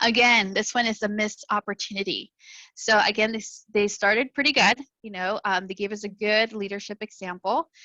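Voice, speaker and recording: A woman talks at a fairly quick pace in a fairly high voice with fairly even intonation. The sound is dry and close, with no echo. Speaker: school counselor. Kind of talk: presentation to parents. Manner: fast.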